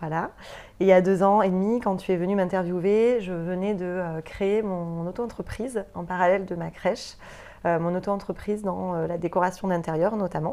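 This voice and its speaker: A woman speaks at a moderate pace with a dark, mellow tone. Her intonation stays fairly even. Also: medium pitch for a woman. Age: 30s. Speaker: entrepreneur in interior decoration, former nursery director. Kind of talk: interview. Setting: studio.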